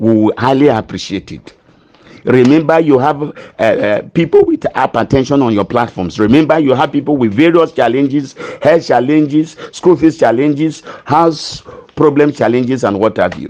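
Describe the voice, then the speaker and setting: Fairly high pitch from a man at a moderate pace, with ordinary pitch variation. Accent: Nigerian. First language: not English. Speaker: pastor, grant committee chairman. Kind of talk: appeal in a live stream. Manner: earnest, pleading; halting, repeats words.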